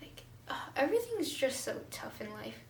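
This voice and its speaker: The speech moves at a fairly slow pace. Noticeable background noise and audible room echo accompany it. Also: woman. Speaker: vlogger. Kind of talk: casual chat. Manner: animated.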